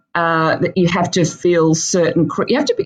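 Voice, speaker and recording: With an Australian accent, a woman speaks at a fairly low pitch. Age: 50s. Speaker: dietitian. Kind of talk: interview. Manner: halting, many fillers.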